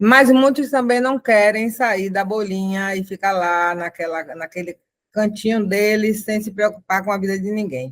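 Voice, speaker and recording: An unremarkable speaking voice talks at a fairly slow pace with ordinary pitch variation. The recording is very clean, the background silent. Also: woman, medium pitch for a woman. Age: 60s. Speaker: activist mother. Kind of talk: personal testimony in panel.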